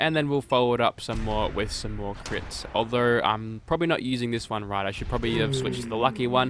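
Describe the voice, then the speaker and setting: There is noticeable background noise behind this man. His pitch is medium, with ordinary variation. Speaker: gaming YouTuber. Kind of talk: game weapon showcase commentary. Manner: casual.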